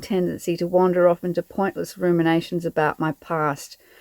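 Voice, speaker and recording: With an Australian accent, a woman at a medium pitch talks at a fairly quick pace in a dry, close sound with no echo. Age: 50s. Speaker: van-life vlogger. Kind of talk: reflective vlog narration.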